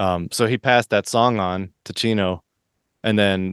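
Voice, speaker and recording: With an American accent and an ordinary speaking voice, a man talks at a fairly low pitch with fairly even intonation, the sound dry and close with no echo against a quiet background. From Florida. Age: 40s. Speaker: musician. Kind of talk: casual chat.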